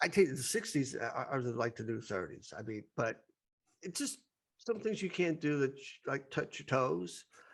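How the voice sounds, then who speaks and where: A man talks at a moderate pace in a fairly high voice with vocal fry. His pitch swings very widely and his loudness rises and falls sharply. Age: 60s. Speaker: podcast host. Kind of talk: casual chat.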